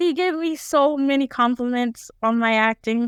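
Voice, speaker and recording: A woman's high voice in a dry, close sound with no echo. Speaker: podcast host. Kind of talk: casual chat.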